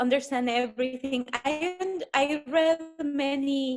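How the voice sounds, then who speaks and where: A woman speaks with a Spanish accent at a very slow pace. Her pitch sits high. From El Salvador. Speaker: pediatrician. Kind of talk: interview.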